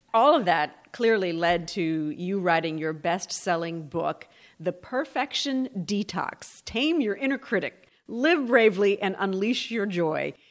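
A woman with a plain, everyday voice speaks at a medium pitch and a fairly slow pace. Her intonation is lively, with hardly any pauses. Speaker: podcast host.

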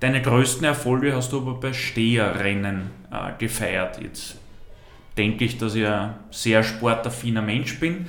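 Amid music in the background and audible room echo, a man speaks at a fairly slow pace with ordinary pitch variation. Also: medium pitch for a man. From Vienna. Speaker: podcast host. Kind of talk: casual interview.

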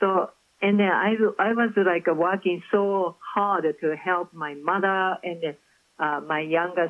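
Speaking very slowly with a Japanese accent, a woman shows ordinary pitch variation. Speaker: author. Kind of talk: interview. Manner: halting.

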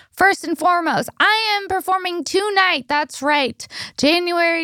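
With a dry, close sound and no echo, a woman speaks in an animated, bright and sharp tone with ordinary pitch variation. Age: 30s. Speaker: comedian and podcast host. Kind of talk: promo read; casual chat. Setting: studio.

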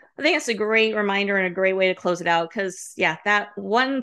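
Over a quiet background, a woman with an unremarkable speaking voice and medium pitch talks at a fairly quick pace with lively intonation. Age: 40s. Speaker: podcast host. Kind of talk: casual chat.

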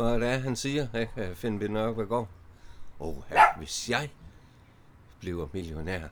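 A man with a fairly low voice talks at a fairly slow pace, his intonation lively and broken by long, frequent pauses. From Denmark, Vejle. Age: 50s. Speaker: early retiree, former drug user. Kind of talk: casual interview. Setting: allotment garden outdoors.

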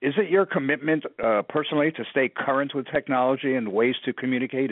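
A man with an American accent speaks in an ordinary speaking voice, his pitch varying in an ordinary way. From New York City. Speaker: podcast host, PR agency partner. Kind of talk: interview.

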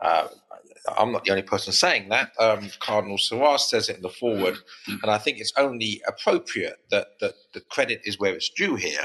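A man with an English accent talks at a fairly quick pace.

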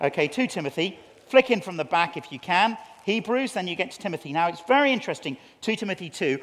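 The speech comes at a very fast pace in an English accent. Its intonation is lively, with big swings in loudness. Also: man, high pitch for a man. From England. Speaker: preacher. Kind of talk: sermon.

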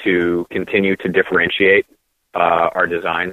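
A man with an American accent. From Massachusetts, Cape Cod. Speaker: cannabis accessory company founder. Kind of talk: casual interview.

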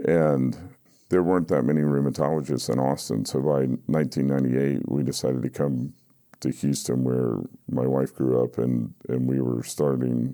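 This man's pitch is very deep and low, and his intonation stays fairly even. His loudness holds very even from start to finish. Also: moderate pace. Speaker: recovery guest sharing story. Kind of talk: interview, personal recovery story.

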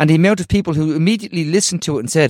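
Lively intonation from a man with an Irish accent, fairly high in pitch, in a dry, close sound with no echo and a very clean recording against a silent background. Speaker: podcast host. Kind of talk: casual political discussion.

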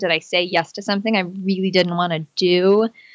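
Her intonation is monotone and flat, with a bright, sharp tone at medium pitch. The woman keeps a moderate pace in a very clean recording with a silent background. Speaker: pain recovery app co-founder and podcast host. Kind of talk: casual interview.

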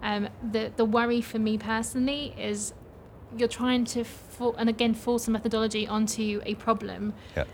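With a fairly high pitch, a woman delivers her words in a monotone, flat way amid noticeable background noise. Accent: English. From England. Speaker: project manager and business coach. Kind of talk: casual interview. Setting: conference speakers' lounge.

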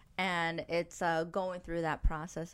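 In a very clean recording with a silent background, a woman with a New York accent talks at a fairly slow pace in a fairly low pitch. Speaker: podcast host and matchmaker. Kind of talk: casual chat.

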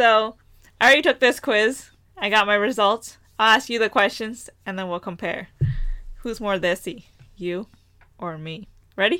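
With a bright, sharp tone and a fairly high pitch, a woman speaks at a moderate pace, using ordinary pitch variation, big swings in loudness, and long, frequent pauses. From US, Punjabi Indian family. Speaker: podcast co-host. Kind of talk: casual chat.

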